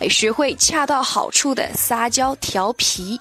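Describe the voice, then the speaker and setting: Over music in the background, a woman with a Chinese accent speaks with ordinary pitch variation in a dry, close sound with no echo. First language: Mandarin Chinese. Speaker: English teacher. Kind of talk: language lesson. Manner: slow, deliberate enunciation.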